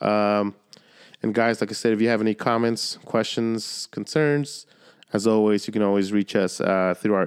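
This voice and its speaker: Delivered at a fairly slow pace with fairly even intonation, this is a normal speaking voice. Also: man. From Southern California, San Diego area, Mexican-American. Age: 30s. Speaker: podcast host. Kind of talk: casual chat.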